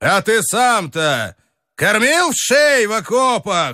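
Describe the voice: A man does a put-on character voice at a high pitch, with very wide pitch swings. He talks at a fairly slow pace.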